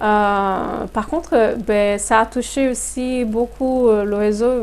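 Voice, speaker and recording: A woman's fairly high voice unfolds very slowly, with pitch that varies in an ordinary way. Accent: Portuguese. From Brazil. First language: Portuguese (speaking French). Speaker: human resources consultant. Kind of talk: interview. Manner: hesitant, many fillers.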